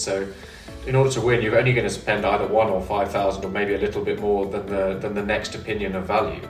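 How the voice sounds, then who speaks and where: Music plays behind a man who talks at a very fast pace with ordinary pitch variation. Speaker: auctioneer. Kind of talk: interview answer.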